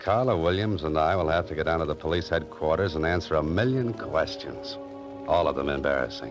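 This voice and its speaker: Over music in the background, the speaker moves at a fairly quick pace with very wide pitch swings. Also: man, very deep, low pitch for a man. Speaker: radio drama actor playing a writer-adventurer. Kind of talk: old-time radio drama with first-person narration.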